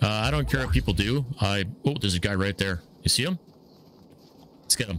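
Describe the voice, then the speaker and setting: A fairly low-pitched man with vocal fry and very wide pitch swings, at a fairly quick pace, in a dry, echo-free recording with light background noise. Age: 40s. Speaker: gamer. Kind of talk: casual gaming talk with a friend. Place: home room.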